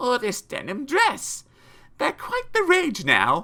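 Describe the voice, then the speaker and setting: Someone uses a put-on character voice with high pitch and a fairly slow pace. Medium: read story.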